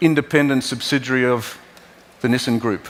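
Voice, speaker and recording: Fairly quick speech in an Australian accent. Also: man. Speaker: car company executive. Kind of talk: keynote presentation. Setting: stage at auto show. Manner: halting.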